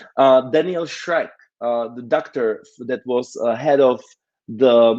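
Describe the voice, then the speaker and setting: Speaking at a fairly slow pace with a non-native accent, a man keeps a medium pitch and fairly even intonation. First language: not English. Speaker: conference organizer and speaker. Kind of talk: conference talk. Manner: halting, many fillers.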